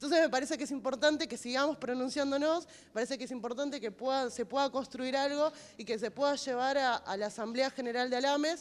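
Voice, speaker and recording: A woman's high-pitched voice at a very fast pace, fairly even in intonation, in a very clean recording with a silent background. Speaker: health worker, activist. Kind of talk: panel discussion.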